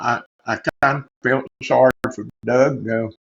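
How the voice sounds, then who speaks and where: The recording is dry and close, with no echo. A man speaks at a very slow pace. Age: 70s. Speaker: business owner. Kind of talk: testimony.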